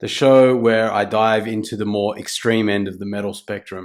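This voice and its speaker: In an Australian accent, a man speaks at a fairly low pitch with monotone, flat intonation. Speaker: music reviewer. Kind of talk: album review. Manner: casual, hesitant.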